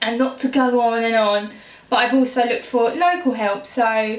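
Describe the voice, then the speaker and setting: Noticeable background noise accompanies a speaker with a southern English accent and monotone, flat intonation. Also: woman. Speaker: beauty YouTuber. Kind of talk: casual vlog talk. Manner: hesitant, many fillers.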